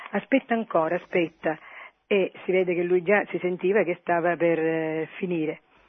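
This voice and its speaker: At a moderate pace, a woman speaks at a medium pitch in a normal speaking voice. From Siracusa, Sicily. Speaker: caller. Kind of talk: phone-in testimony. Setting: phone call.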